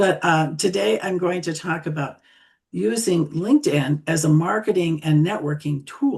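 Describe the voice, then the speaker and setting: Somewhat breathy and fairly low in pitch, a woman speaks at a moderate pace with lively intonation. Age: 70s. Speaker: social media tutor. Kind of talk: presentation.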